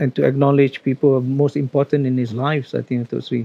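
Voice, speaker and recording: A man's fairly high voice, monotone and flat in intonation. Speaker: professor. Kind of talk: panel book discussion. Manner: hesitant, many fillers.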